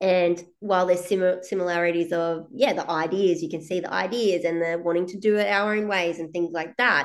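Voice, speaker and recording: This woman has a plain, everyday voice with a fairly low pitch. She talks at a fairly quick pace with fairly even intonation and hardly any pauses. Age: 30s. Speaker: business coach. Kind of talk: casual chat. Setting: video call.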